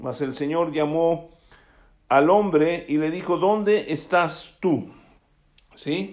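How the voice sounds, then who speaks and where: A man's fairly high voice with ordinary pitch variation, at a very slow pace with long, frequent pauses, amid audible room echo. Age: 60s. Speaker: pastor. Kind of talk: sermon.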